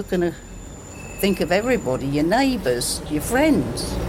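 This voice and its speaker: A woman talks at a moderate pace with noticeable noise in the background. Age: 70s. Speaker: village resident. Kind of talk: street interview.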